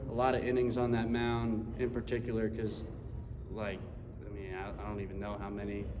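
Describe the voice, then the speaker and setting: A man's speech carries audible room echo, with noticeable background noise behind it. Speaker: college baseball pitcher. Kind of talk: press conference. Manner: halting.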